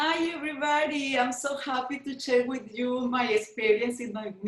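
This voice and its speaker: A woman's fairly slow speech in a Spanish accent. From Venezuela. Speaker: travel company owner. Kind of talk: personal testimony. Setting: video call. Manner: halting.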